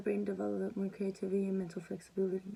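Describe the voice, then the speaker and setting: Woman's medium-pitched voice, somewhat breathy with a dark, mellow tone, at a fairly quick pace. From Mexican-American household, US. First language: Spanish. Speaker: student. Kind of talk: class presentation. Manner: halting, with repetitions.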